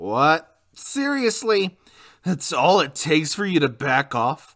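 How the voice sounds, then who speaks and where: A put-on character voice at middle pitch, fairly slow pace, on a very clean recording with a silent background. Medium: dub.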